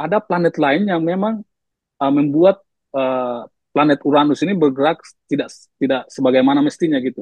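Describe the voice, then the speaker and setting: A man's fairly high voice in an eastern Indonesian accent, with ordinary pitch variation and a fairly quick pace. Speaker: science communicator. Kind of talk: discussion podcast. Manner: halting with fillers.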